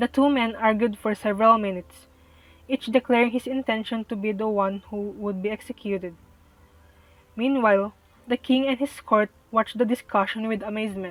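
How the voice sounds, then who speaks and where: A woman with a non-native accent speaks in fairly even intonation, the sound dry and close with no echo. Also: fairly quick pace. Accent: noticeable non-native. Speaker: student. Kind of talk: read story. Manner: some words mispronounced.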